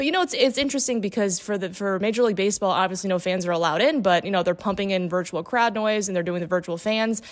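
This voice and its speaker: At a very fast pace, a woman with an American accent talks at a medium pitch with ordinary pitch variation. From Indiana. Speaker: sports reporter. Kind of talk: casual chat. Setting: video call.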